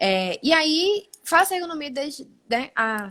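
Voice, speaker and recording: A very slow pace in a Pernambuco accent. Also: woman. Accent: Pernambuco (Brazilian Northeast). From Brazil, Pernambuco interior (Caruaru). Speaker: occupational physiotherapist, ergonomics practitioner. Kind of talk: live stream interview. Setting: online live stream.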